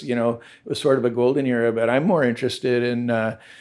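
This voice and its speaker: A medium-pitched man with a Southern Californian accent, very fast, with fairly even intonation. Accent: Southern California American. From suburban Los Angeles, Southern California. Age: 60s. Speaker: surfwear businessman and surfboard shaper. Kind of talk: interview conversation. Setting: at his ocean-front home. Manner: casual, relaxed.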